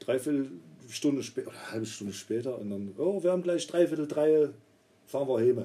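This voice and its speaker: This man's pitch is fairly high, and his intonation is lively. He talks at a very fast pace with big swings in loudness. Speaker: podcast co-host, trained roofer. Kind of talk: casual chat.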